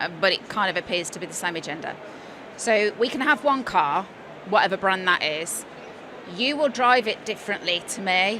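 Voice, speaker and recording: Over noticeable background noise, a woman with a slight Birmingham accent talks with lively intonation. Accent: slight Birmingham (Brummie). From West Midlands, England (Birmingham/Worcestershire). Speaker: coach and former nurse. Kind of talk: casual chat. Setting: studio at live trade show.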